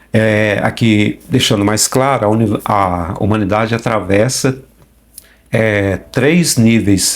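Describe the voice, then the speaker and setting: Loudness stays very even as the voice moves at a very slow pace with ordinary pitch variation. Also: man. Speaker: youtube channel host discussing spiritualist philosophy. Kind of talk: informal lecture. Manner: halting, stumbles over words.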